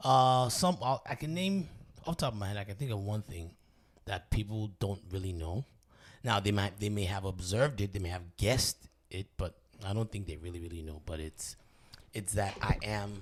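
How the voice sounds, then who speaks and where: A somewhat breathy man speaks with ordinary pitch variation on a very clean recording with a silent background. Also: fairly low pitch for a man, moderate pace. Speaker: podcast co-host. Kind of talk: casual chat. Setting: studio. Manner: halting, many ums and uhs.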